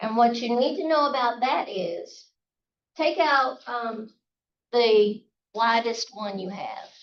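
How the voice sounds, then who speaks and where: A woman speaks with a Southern US accent. Her pitch sits fairly high. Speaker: calligraphy instructor. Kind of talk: workshop tutorial. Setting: outdoors, live class. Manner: casual.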